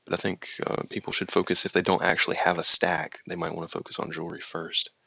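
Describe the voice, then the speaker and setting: A man with a slight Southern US accent talks at a very fast pace, his voice dry and close with no echo. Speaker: crypto live streamer. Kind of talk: live stream chat. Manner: casual, halting with fillers.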